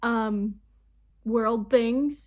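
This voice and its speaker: A woman's fairly high voice comes through on a very clean recording against a silent background. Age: 20s. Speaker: YouTuber. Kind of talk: casual reaction vlog.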